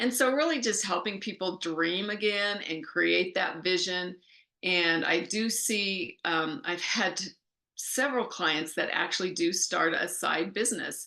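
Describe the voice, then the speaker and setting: A woman talks fairly slowly in a normal speaking voice at medium pitch. Her loudness is very even, with ordinary pitch variation. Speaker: life coach. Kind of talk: interview.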